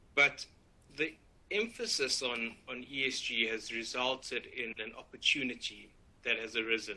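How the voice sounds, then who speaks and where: A man in a South African accent, bright and sharp in tone, at a moderate pace with fairly even intonation. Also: medium pitch for a man. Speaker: finance lawyer. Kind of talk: webinar presentation. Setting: online webinar.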